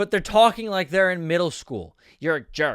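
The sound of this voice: An unforced reading voice whose pitch varies in an ordinary way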